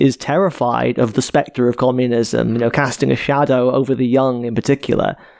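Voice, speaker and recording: Delivered at a fairly quick pace in a Welsh accent, the speech has ordinary pitch variation. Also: man. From Wales, Cardiff. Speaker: podcast host. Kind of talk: casual chat.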